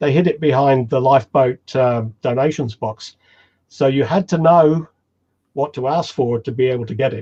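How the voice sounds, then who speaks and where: A man at medium pitch with a dark, mellow, somewhat breathy tone, moderate pace and ordinary pitch variation, in a dry, close sound with no echo. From England, Cornwall. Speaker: homebrewing author and presenter. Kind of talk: webinar Q&A chat.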